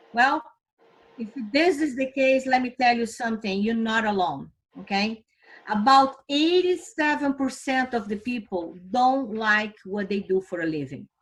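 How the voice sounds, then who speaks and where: With a Brazilian Portuguese accent, a woman speaks at a fairly high pitch with lively intonation. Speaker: financial company vice president. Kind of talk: recruitment presentation. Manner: enthusiastic.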